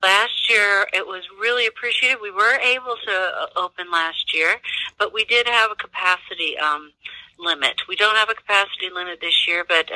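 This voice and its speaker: A woman with a plain, everyday voice speaks at a moderate pace with ordinary pitch variation, the sound dry and close with no echo. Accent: American. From US Midwest. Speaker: zoo director. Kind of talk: interview.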